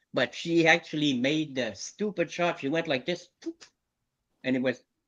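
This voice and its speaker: A man with an unremarkable speaking voice talks at a moderate pace, his pitch fairly high with ordinary pitch variation. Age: 60s. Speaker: community hangout participant. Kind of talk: casual chat.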